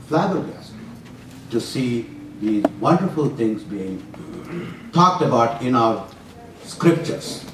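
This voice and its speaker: A man's pitch swings very widely. Both background noise and room echo are noticeable. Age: 80s+. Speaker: retired physician giving a talk on scripture. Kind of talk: lecture. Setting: university room with audience, walking with mic.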